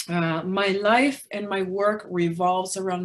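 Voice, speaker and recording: In a slight Spanish accent, a woman speaks very slowly at a medium pitch. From Peru. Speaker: magazine publisher. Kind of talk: presentation. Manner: hesitant fillers.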